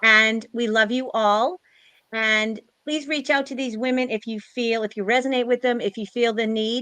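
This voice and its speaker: A loud woman's voice, fairly high-pitched, with a bright, sharp tone, fairly even intonation and a moderate pace, against a quiet background. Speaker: spiritual live stream host. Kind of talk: closing remarks of a live stream panel.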